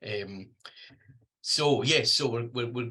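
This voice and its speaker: This voice in a Scottish accent has a bright, sharp tone and ordinary pitch variation. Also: man. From Scotland. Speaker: researcher and trainer in deafblind communication. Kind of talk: lecture. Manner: hesitant, many fillers; can speed up when excited.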